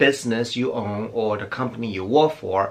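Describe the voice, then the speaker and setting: A man's medium-pitched voice with a non-native accent, at a moderate pace with ordinary pitch variation. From outside the US. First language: not English. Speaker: beauty YouTuber. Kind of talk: personal storytelling vlog. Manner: halting, with restarts.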